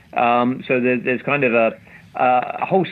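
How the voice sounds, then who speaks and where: Speaking with a British accent, a man uses a medium pitch. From UK. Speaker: investment strategist. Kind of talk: interview chat about markets. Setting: remote interview, sheltering in place. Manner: hesitant, repeats words.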